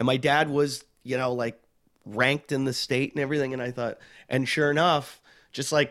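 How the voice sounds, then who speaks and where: A man speaks in a plain, everyday voice on a very clean recording with a silent background. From Pittsburgh, Pennsylvania. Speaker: comedian. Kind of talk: casual chat.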